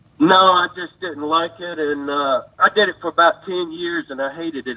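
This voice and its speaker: Using ordinary pitch variation at a moderate pace, a man speaks with an Alabama accent. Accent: US Southern (Alabama). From Alabama, Montgomery. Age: 60s. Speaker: caller, former deputy sheriff. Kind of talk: phone call-in conversation.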